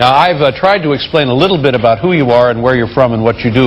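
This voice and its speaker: A man talks in an American accent. His pace is very fast and his intonation lively. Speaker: talk show host. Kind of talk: late-night talk show interview.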